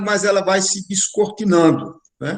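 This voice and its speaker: This is a man speaking at a high pitch. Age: 70s. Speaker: spiritual course teacher. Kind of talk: online lecture.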